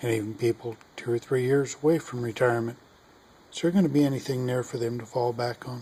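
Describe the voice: A man's medium-pitched voice in an American accent, dark and mellow in tone with a slightly husky edge, fairly even intonation, and a fairly quick pace.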